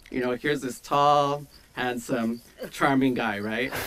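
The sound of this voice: A man speaks at a medium pitch with a fairly bright tone. His pace is fairly slow.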